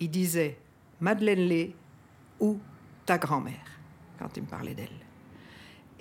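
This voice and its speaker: Speaking very slowly, a woman talks in a fairly low pitch. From Belgium, Brussels. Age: 60s. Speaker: descendant of a historical figure. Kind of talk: interview testimony. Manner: halting, many hesitations.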